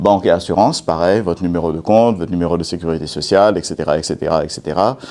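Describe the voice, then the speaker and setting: Very fast speech in a non-native accent, with a dark, mellow tone. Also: man. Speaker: cybersecurity speaker. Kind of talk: conference talk. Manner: hesitant, many fillers.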